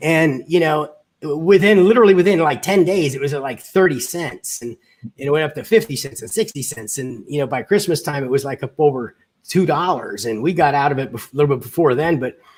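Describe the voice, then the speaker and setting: With a normal speaking voice, a man talks at a fairly quick pace, fairly high in pitch, his intonation lively and his loudness swinging widely. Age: 60s. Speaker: podcast host. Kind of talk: casual chat.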